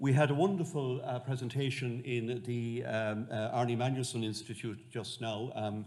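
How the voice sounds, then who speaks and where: In a West of Ireland accent, a man talks at a medium pitch with ordinary pitch variation, and the room echo is audible. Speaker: monk and medieval historian. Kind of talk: lecture. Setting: lecture hall with audience. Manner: halting, many fillers.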